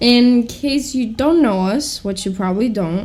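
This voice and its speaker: A woman with a Greek accent speaks at a moderate pace in a dark, mellow tone. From Greece. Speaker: podcast co-host. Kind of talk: casual chat.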